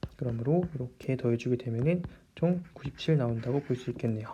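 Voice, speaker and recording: The delivery is fairly quick. Behind it, the background stays quiet. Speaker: math tutor. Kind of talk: lecture. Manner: fast.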